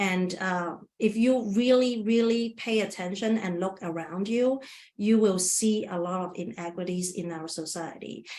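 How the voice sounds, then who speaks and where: In a non-native accent, the voice moves at a fairly slow pace. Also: woman, medium pitch for a woman, ordinary pitch variation. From Asia, immigrant to US at 19. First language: not English. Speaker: webinar presenter, community engagement worker. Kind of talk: webinar presentation with Q&A. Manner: halting, many restarts.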